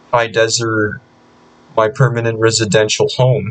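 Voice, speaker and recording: Somewhat breathy and fairly slow, a man speaks at a medium pitch in a monotone, flat intonation. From Southern California. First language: Spanish. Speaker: vlogger. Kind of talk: casual screen-recorded commentary. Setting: recording at home PC. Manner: halting, many repetitions.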